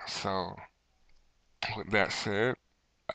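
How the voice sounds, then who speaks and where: The sound is dry and close with no echo. A man speaks at a very slow pace. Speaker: podcast host. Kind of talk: casual chat.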